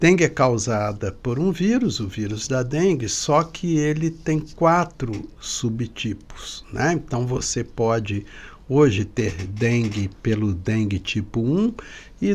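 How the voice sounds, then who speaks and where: Lively intonation marks a man's somewhat breathy voice. He speaks at a very slow pace. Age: 60s. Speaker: pediatrician and epidemiologist. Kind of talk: expert interview.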